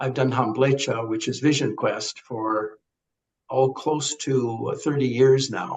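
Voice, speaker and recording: Somewhat breathy, a man speaks at a medium pitch with fairly even intonation. His pace is moderate. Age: 70s. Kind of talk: podcast interview.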